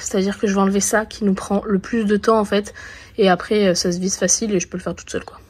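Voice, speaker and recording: The delivery comes very fast, somewhat breathy, in a monotone, flat intonation. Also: woman, medium pitch for a woman. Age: 30s. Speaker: horse owner and rider. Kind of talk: casual vlog talk to camera.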